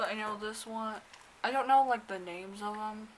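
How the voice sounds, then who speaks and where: Against noticeable background noise, a woman talks at a medium pitch with fairly even intonation. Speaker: K-pop fan vlogger. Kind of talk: unboxing vlog.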